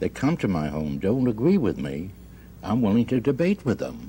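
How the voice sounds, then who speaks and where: The voice has a dark, mellow tone with vocal fry. Its pitch swings very widely. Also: man. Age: 70s. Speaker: husband in a mediation case. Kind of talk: radio mediation hearing testimony.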